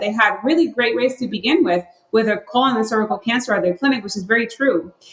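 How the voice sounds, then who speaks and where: The speaker has a Spanish accent. Their pitch varies in an ordinary way. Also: woman. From Puerto Rico. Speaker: health researcher. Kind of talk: podcast interview.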